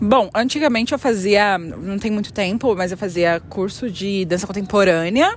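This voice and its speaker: With noticeable background noise, a woman at medium pitch speaks at a moderate pace with ordinary pitch variation and hardly any pauses. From São Paulo, West Zone. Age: 20s. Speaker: dancer. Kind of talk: interview.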